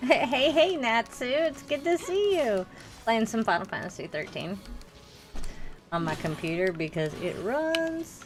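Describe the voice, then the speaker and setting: A woman's high-pitched, animated voice with very wide pitch swings at a fairly slow pace, music in the background. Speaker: gaming streamer. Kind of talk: casual livestream chat.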